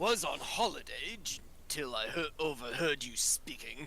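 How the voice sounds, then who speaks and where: Over clear background noise, a man puts on a character voice at a fairly high pitch and a moderate pace. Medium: actual play. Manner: formal, blunt.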